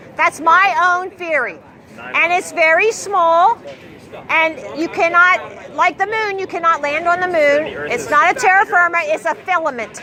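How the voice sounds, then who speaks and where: Crowd noise sits behind a woman with a raised, projected voice at an extremely high pitch. Her tone is animated and her intonation lively, yet her pace is fairly slow. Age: 60s. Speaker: street activist. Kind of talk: street debate.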